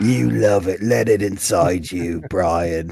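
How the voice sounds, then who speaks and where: A man puts on a character voice in a British accent, his pitch very deep and low and his pace fairly slow. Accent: put-on British. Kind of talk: comic overacting. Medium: game stream.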